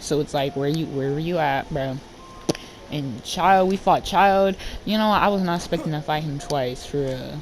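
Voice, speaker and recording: Noticeable background noise accompanies a woman with a very deep, low pitch. She goes at a fairly slow pace with ordinary pitch variation. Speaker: gaming YouTuber. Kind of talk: casual gameplay commentary. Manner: animated.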